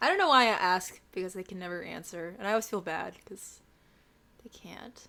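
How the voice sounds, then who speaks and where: This woman's medium-pitched voice has a bright, sharp tone, a fairly quick pace, big swings in loudness and ordinary pitch variation. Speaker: podcast co-host, cosplayer. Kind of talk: casual chat.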